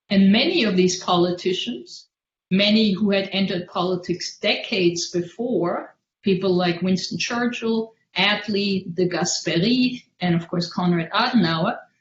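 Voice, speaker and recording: This woman speaks at a fairly slow pace in a somewhat breathy voice. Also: medium pitch for a woman, fairly even intonation. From Germany, Worms. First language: German. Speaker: history scholar on a panel. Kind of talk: academic lecture.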